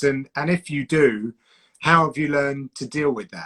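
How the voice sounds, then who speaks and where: In a Home Counties accent, a man with a fairly high pitch talks at a moderate pace, and the sound is dry and close with no echo. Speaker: combat sports broadcaster and commentator. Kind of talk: casual chat.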